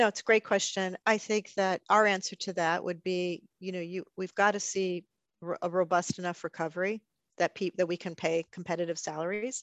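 A woman uses a normal speaking voice at a moderate pace, with a medium pitch and fairly even intonation. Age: 60s. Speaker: travel industry executive. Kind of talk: interview.

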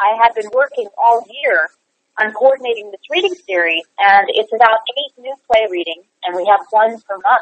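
A woman's normal speaking voice, fairly high in pitch, with lively intonation, big swings in loudness and a moderate pace. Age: 40s. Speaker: playwright and producer. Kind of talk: casual interview.

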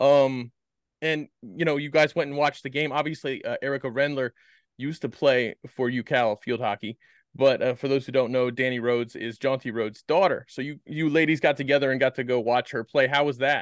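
An unremarkable speaking voice with an American accent moves at a fairly quick pace with fairly even intonation. The background is quiet, and the sound is dry and close with no echo. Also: man, medium pitch for a man. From US East Coast (Maryland). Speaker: podcast host. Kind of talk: casual chat.

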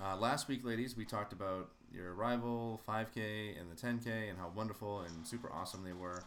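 Speaking at a fairly quick pace with hardly any pauses, this is an ordinary speaking voice with ordinary pitch variation. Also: man, fairly low pitch for a man. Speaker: podcast host. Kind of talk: casual chat.

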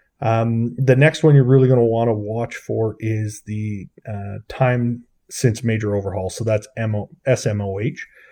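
With a Canadian Prairies accent, a man speaks at a moderate pace in a dark, mellow tone of medium pitch. His intonation stays fairly even against a quiet background. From Saskatchewan, Canada. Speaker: aircraft broker. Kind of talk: interview.

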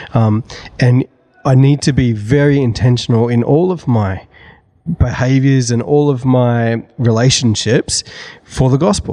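A man with an Australian accent, speaking at a fairly slow pace. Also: medium pitch for a man, ordinary pitch variation. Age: 30s. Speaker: church creative director. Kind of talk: casual chat.

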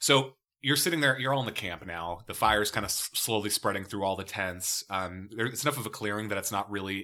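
An unremarkable speaking voice from a man, fairly low in pitch with ordinary pitch variation, in a very clean recording with a silent background. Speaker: tabletop game master. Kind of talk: tabletop role-play narration.

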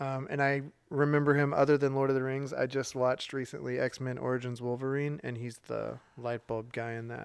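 A man talks at a fairly quick pace with hardly any pauses. His pitch is medium and his intonation is monotone and flat. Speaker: podcast host. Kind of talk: casual chat, game show banter.

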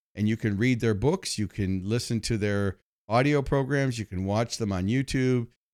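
A man talks at a moderate pace in a plain, everyday voice, medium in pitch with ordinary pitch variation, recorded very cleanly with a dry, close sound, no echo and a silent background. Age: 60s. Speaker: motivational speaker and marketing expert. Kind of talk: interview.

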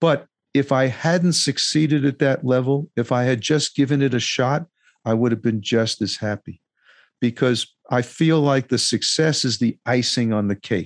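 In a plain, everyday voice, a man speaks in a medium pitch with ordinary pitch variation and very even loudness, the sound dry and close with no echo and the background quiet. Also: moderate pace. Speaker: musician and podcast host, former lawyer. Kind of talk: interview.

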